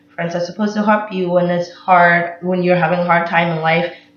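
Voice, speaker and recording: Against noticeable background noise, a woman talks in a fairly low pitch, varying it in an ordinary way. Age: 20s. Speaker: vlogger, college student. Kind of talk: casual vlog monologue. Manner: loud.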